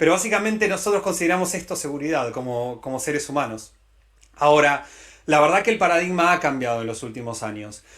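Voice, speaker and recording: At a fairly quick pace, a man talks in a fairly high voice with ordinary pitch variation. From Latin America. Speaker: tech company director. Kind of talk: conference talk. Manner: hesitant with many fillers.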